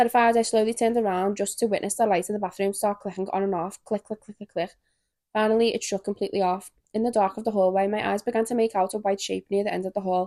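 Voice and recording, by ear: Fast-paced and fairly even in intonation, the woman's voice has a dark, mellow tone at a medium pitch.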